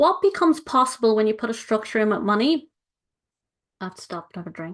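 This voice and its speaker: With an Irish accent and an animated tone, a woman talks very fast against a quiet background. Her pitch swings very widely and her loudness shifts a lot. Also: fairly high pitch for a woman. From Ireland. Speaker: money coach. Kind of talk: live webinar presentation.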